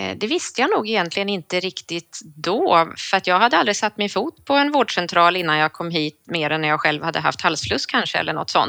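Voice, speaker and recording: A woman of medium pitch talks at a fairly quick pace with hardly any pauses and lively intonation. Her tone is bright and sharp, and the sound is dry and close with no echo. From northern Sweden (Sundsvall). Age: 40s. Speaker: cardiology nurse. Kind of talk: casual interview.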